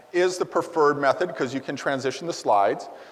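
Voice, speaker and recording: A man in an American accent talks very fast as noticeable background noise continues. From US Midwest, Wisconsin. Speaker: conference presenter. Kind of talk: conference presentation. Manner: halting, with fillers.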